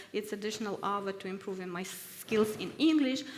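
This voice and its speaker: A woman talks with ordinary pitch variation while noticeable background noise runs beneath. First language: Ukrainian (English not mother tongue). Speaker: researcher at risk, research fellow. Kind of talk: workshop testimony. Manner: halting, many hesitations.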